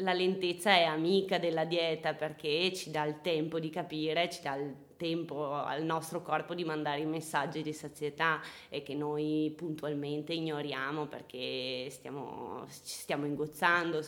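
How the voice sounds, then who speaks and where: A woman's very deep, low voice, monotone and flat in intonation, fairly slow in pace, with big swings in loudness. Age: 20s. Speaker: nutritionist. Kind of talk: casual chat. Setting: at home.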